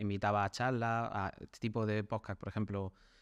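At a moderate pace, a man with a normal speaking voice and fairly low pitch is heard in a dry, close sound with no echo. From Spain, small town. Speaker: web developer. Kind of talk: interview.

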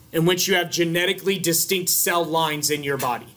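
A man's high-pitched voice at a fairly quick pace, with fairly even intonation. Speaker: biology instructor. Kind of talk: lecture. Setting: classroom. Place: classroom.

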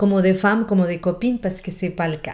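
Over a quiet background, a woman speaks with a Spanish accent. Her tone is dark and mellow. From Colombian Amazon. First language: Spanish (speaking French). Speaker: relationship coach. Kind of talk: motivational video talk; casual advice talk to camera. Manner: animated. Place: home room. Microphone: webcam.

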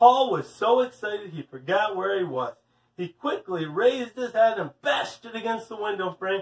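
The clip is reading aloud in a natural voice.

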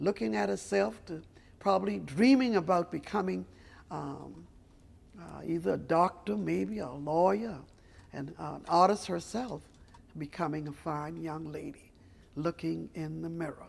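This woman has a very deep, low pitch with very wide swings and vocal fry. Her loudness swings widely, and she talks fairly slowly with long, frequent pauses. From South Carolina. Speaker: storyteller. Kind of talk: guided art tour talk. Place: hall.

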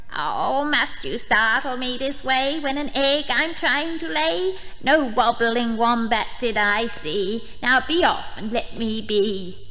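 A female-sounding, put-on character voice with high pitch moves at a fairly slow pace with hardly any pauses. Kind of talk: rhyming storybook verse. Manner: flustered, clucking, annoyed.

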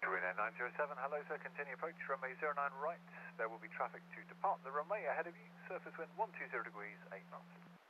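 Over light background noise, a man with vocal fry speaks at a very fast pace, his loudness swinging widely in a dry sound with no echo. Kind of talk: radio phraseology instructions. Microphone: two way radio.

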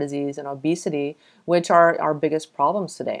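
A plain, everyday voice from a woman with an American accent and a fairly low pitch. She talks at a fairly quick pace over a quiet background. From Texas. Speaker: health podcast host. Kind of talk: scripted introduction; interview. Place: home room. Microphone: earbuds.

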